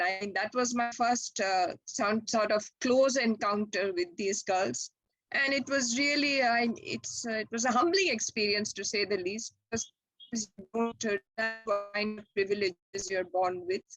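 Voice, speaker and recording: In a normal speaking voice, a woman talks fairly slowly at a fairly high pitch with ordinary pitch variation, the sound dry and close with no echo. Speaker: retired chemistry professor and scientist. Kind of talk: interview answer.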